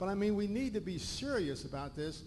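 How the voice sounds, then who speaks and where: With audible room echo around him, a man talks at a fairly quick pace. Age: 60s. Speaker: audience member, retired physician. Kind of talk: audience question. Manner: animated.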